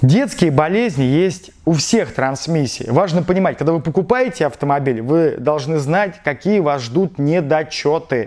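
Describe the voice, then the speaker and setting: A man talks at a fairly slow pace with hardly any pauses and lively intonation. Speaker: auto mechanic and video blogger. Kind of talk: tutorial. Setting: workshop garage. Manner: casual, slangy. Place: garage. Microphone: lapel.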